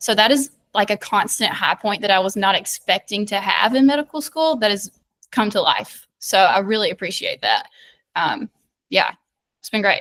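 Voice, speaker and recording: Bubbly in tone, a woman with a strong Southern US accent speaks at a moderate pace and fairly high pitch with ordinary pitch variation, in a dry, close sound with no echo on a very clean recording with a silent background. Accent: thick Southern US. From US South, rural south Georgia. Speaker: medical student. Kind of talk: casual interview chat. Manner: loud, bubbly.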